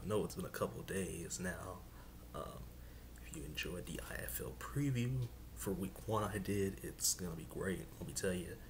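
Over noticeable background noise, a man with a very deep, low pitch speaks at a moderate pace, his pitch swinging very widely. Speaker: sports commentator YouTuber. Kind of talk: casual talk to camera. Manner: casual, hesitant. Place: home room. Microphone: webcam.

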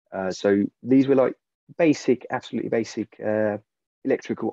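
With a fairly low pitch and fairly even intonation, a man speaks in a dry sound with no echo. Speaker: repair cafe volunteer; webinar panelist. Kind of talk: interview. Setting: video call. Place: home room. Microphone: video call.

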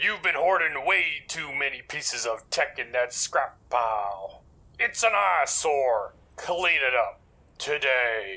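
A man speaks at a fairly slow pace in a fairly high voice, his pitch swinging very widely. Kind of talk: comic overacting. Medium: machinima. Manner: commanding, brisk, boastful.

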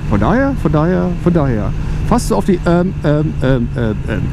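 Vocal fry runs through a man's fairly slow speech. Background noise is clearly heard.

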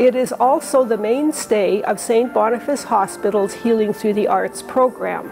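A woman at a fairly slow pace with ordinary pitch variation, clear music playing in the background. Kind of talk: exhibition tour presentation. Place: hall. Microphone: lapel.

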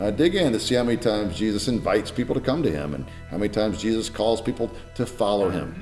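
With faint music behind him, a man talks at a fairly quick pace. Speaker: pastor. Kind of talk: sermon-style teaching talk. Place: home room.

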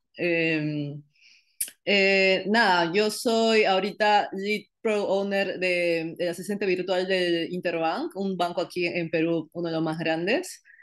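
A woman talks very slowly, with fairly even intonation and a quiet background. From Peru, Iquitos (Amazon region); Peru. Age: 20s. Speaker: tech startup cofounder; interviewee. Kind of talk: interview. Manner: hesitant, many fillers. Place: home room. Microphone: video call.

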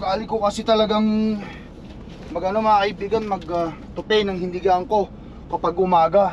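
A high-pitched man at a moderate pace, with monotone, flat intonation, a dry sound with no echo, and light background noise. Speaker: truck driver vlogger. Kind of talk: casual vlog chat. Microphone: camera far.

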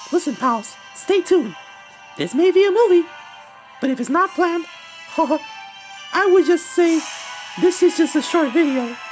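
A cartoonish character voice talks at a moderate pace over clear music in the background. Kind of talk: fan-made cartoon impression. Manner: chipper, excitable.

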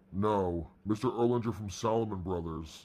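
Speaking in a put-on character voice, a man keeps a fairly low pitch. His pace is moderate and his pitch varies in an ordinary way. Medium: read story. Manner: soft, soothing, crooning.

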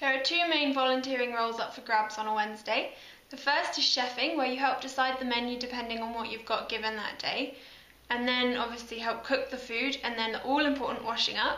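Room echo is audible as a woman talks at a fairly quick pace. Her pitch is high and her intonation fairly even. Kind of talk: casual promotional talk. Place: hall. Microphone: phone near.

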